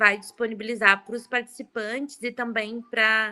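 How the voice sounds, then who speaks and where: Speaking slowly in a flat monotone, a woman with a southern Brazilian accent has a fairly high pitch and a bright, sharp tone. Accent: gaúcho. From southern Brazil (Rio Grande do Sul). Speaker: event moderator. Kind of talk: casual chat.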